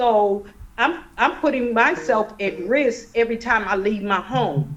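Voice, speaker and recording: A woman talks at a fairly slow pace in a plain, everyday voice, pitched fairly high with lively intonation. Her loudness stays very even. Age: 60s. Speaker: community ministry director. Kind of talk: panel interview. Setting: video call.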